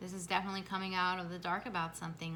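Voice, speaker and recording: Very fast and monotone, a woman speaks at a medium pitch with flat intonation. Her tone is bright and sharp, with audible room echo. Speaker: tarot reader. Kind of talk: tarot reading to camera. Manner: halting.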